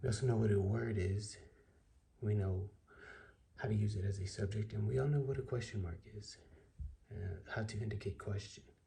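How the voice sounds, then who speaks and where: With audible room echo, a man speaks at a moderate pace in a somewhat breathy, dark, mellow tone, with a fairly low pitch and fairly even intonation. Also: long, frequent pauses. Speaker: online tutorial creator. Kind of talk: tutorial.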